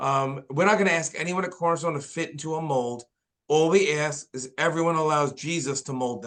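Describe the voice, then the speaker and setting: With a New York accent, a man speaks at a fairly high pitch and moderate pace, his intonation fairly even. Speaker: pastor. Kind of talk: podcast interview.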